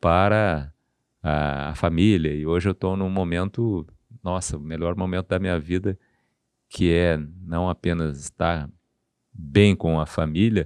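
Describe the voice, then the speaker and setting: Long, frequent pauses break up a man's very deep, low voice, his intonation fairly even, the sound dry and close with no echo over a quiet background. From southern Brazil, Porto Alegre. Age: 60s. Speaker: surgeon. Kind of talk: podcast interview.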